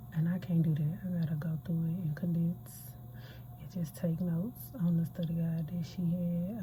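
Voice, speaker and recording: A hushed whisper carries the words. The delivery moves along fairly quickly. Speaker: nursing student vlogger. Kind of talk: casual vlog. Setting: library. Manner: whispering.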